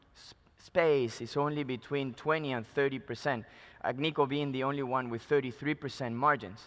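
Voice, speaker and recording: Recorded very cleanly against a silent background, a man with a Spanish accent talks at a fairly high pitch and a moderate pace, with fairly even intonation. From Peru. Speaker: mining company executive. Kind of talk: conference presentation. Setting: stage at conference.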